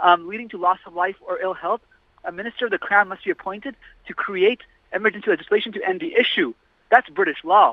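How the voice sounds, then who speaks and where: A man with an American accent speaks at a very fast pace in a high voice. His pitch varies in an ordinary way while his loudness swings widely. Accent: American-sounding. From London, England. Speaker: political candidate. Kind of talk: radio interview. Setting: studio.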